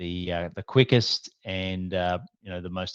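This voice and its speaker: The voice, with an Australian accent, comes through as a dry, close sound with no echo against a quiet background. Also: man. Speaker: business coach. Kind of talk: interview. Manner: casual, many fillers.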